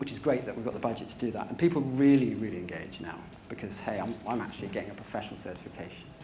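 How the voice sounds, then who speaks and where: Over noticeable background noise, a man talks at a very fast pace with audible room echo. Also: medium pitch for a man, lively intonation, big swings in loudness. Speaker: privacy and data protection manager. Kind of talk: conference talk.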